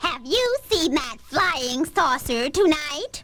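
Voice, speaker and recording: In a put-on character voice, a female-sounding speaker shouts loud and shrill at a high pitch, at a very slow pace. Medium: audio drama. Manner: loud, yelling.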